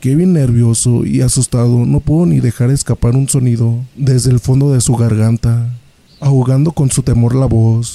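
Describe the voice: Plain reading aloud, its intonation fairly even from start to finish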